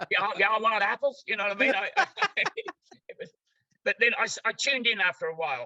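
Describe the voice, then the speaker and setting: A man's raised, projected, high-pitched voice with an Australian accent, bright and sharp in tone, lively in intonation, fairly quick, and dry and close with no echo. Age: 90s. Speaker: therapy practitioner. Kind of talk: interview. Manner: halting.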